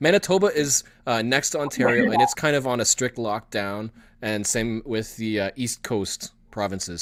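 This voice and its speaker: A man with an unremarkable speaking voice and a Canadian accent talks at a moderate pace and medium pitch in a very clean recording with a silent background. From Canada. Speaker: geocaching vlogger, live stream host. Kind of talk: live stream chat.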